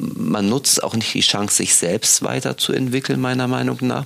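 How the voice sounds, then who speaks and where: There is noticeable background noise. Through it, a man speaks at a fairly slow pace. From West Germany. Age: 40s. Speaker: podcast host and magazine editor. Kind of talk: casual interview chat.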